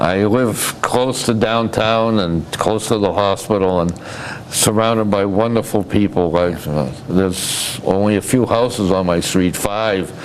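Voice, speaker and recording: Over noticeable background noise, a man with a Massachusetts accent talks at a fairly slow pace, using a fairly low pitch, ordinary pitch variation and very even loudness. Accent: New England (Massachusetts). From Massachusetts, Fitchburg. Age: 80s+. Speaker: retired businessman and community volunteer. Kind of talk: interview. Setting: TV studio. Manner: halting, repeats words.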